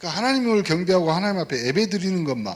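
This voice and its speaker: A man with a South Jeolla accent speaks with audible room echo. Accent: Mokpo dialect, mispronounces 예 sound. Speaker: pastor. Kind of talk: sermon. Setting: church service. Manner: animated, interactive with congregation.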